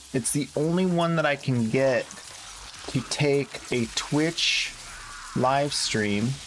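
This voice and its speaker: A very slow pace with long, frequent pauses over noticeable background noise. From Canada. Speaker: game streamer. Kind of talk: live stream chat. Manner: casual thinking aloud.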